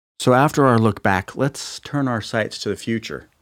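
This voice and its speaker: In a plain, everyday voice, a man speaks at a moderate pace with a medium pitch and lively intonation, in a very clean recording with a silent background. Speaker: guest host. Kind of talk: interview.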